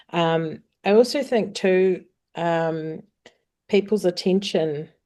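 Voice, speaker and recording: Lively intonation marks this woman's speech, which has a New Zealand accent. Her pace is very slow. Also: quiet background. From New Zealand, Auckland. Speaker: singer-songwriter. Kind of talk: interview.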